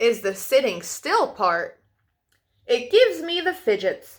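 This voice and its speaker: In a put-on character voice, a woman speaks at a high pitch and a fairly slow pace on a very clean recording with a silent background. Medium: read story.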